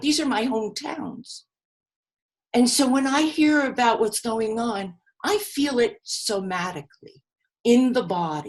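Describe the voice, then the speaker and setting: A woman talks at a high pitch with lively intonation. Her pace is fairly slow. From New York, the Bronx. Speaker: grief seminar teacher. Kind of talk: seminar lecture. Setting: live video call seminar.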